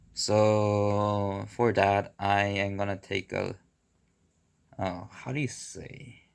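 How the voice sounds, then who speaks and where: A man with a Korean accent talks very slowly in a fairly low pitch with monotone, flat intonation. The recording is very clean, with a silent background. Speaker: video blogger. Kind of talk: casual vlog monologue. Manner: halting.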